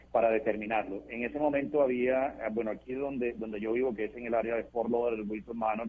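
Speaking fairly quickly, this man has an unremarkable speaking voice. His intonation stays fairly even at a medium pitch. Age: 40s. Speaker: monkeypox survivor. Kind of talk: interview.

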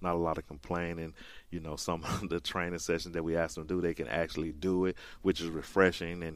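A man with a Southern US accent talks at a fairly quick pace in a very deep, low, monotone, flat voice. The recording is very clean, with a silent background. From rural Mississippi. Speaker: college soccer coach. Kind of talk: radio interview. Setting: studio.

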